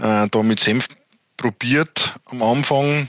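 A dry, close sound without echo, carrying ordinary pitch variation. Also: man. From Bavaria, Germany. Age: 30s. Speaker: farmer and water advisor. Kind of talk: interview.

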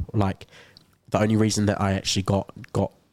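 Speaking fast in a New Zealand accent, a man uses a fairly low pitch and monotone, flat intonation. The very clean recording has a silent background and a dry, close sound with no echo. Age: young. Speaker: university student. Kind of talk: casual chat. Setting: studio.

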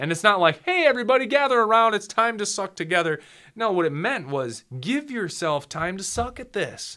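The voice is raised and projected, moving at a moderate pace with very wide pitch swings. The recording is very clean, with a silent background. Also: man, high pitch for a man. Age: 30s. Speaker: photographer and video production business owner. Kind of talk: casual interview chat. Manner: animated.

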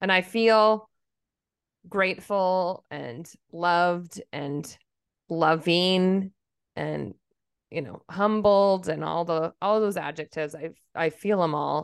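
A woman with an American accent speaks at a very slow pace with long, frequent pauses. Her pitch is fairly low. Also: ordinary pitch variation, quiet background. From Minnesota. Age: 40s. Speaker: podcast co-host. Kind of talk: casual chat.

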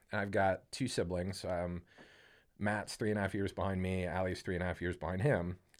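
A man speaks at a very deep, low pitch with a Midwestern American accent and monotone, flat intonation. The recording is very clean with a silent background. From Ohio, Canton. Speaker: podcast guest. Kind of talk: casual chat.

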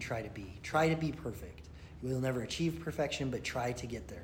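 At a medium pitch, a man speaks fairly quickly with vocal fry. His intonation is lively. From Utah. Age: 40s. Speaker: former prisoner sharing recovery story. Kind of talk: interview testimony.

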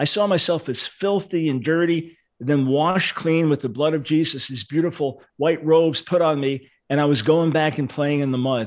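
Here is an ordinary speaking voice with fairly even intonation at a fairly quick pace. The recording is very clean, with a silent background. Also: man. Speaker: preacher and radio host. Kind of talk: casual interview.

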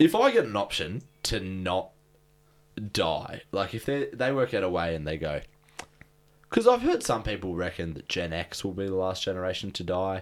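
With an Australian accent, a man talks at a moderate pace in a very deep, low voice, using ordinary pitch variation and long, frequent pauses. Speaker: podcast co-host. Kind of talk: casual chat.

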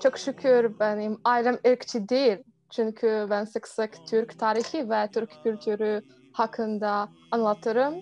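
A woman with a Polish accent, fairly high-pitched and very slow, with fairly even intonation and noticeable background noise. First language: Polish (speaking Turkish). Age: 20s. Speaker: university student. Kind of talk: interview. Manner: halting.

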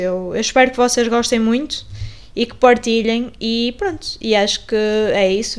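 Here a woman speaks with ordinary pitch variation. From northern Portugal, Paredes (Porto). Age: 20s. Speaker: podcast host and journalism student. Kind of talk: casual podcast introduction. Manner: hesitant, many fillers and repetitions.

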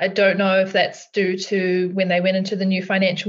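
In an Australian accent, a woman with a medium-pitched voice speaks at a fairly quick pace. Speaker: finance co-host, mortgage broker. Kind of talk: casual podcast conversation.

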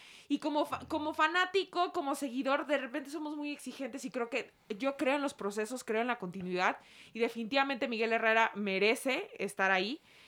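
Her intonation lively and her pitch high, a woman talks at a fairly quick pace. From Mexico City. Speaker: sports reporter. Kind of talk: casual chat. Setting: studio.

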